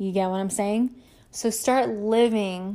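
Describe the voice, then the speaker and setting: In flat, monotone intonation, a woman talks at a medium pitch. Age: 30s. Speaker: podcast host. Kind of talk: motivational monologue. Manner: casual, conversational.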